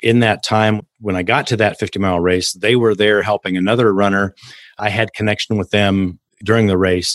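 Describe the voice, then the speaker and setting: Here a man with an American accent has an unremarkable speaking voice, fairly low in pitch with fairly even intonation, recorded in a dry, close sound with no echo against a quiet background. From Kansas, US. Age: 60s. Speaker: mindset coach and ultramarathon runner. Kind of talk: casual interview chat.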